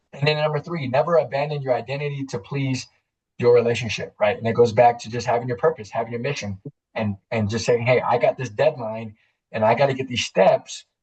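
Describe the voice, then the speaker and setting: Somewhat breathy delivery at a fairly quick pace with ordinary pitch variation. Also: man, medium pitch for a man. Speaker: life coach. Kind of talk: webinar presentation. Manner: fast.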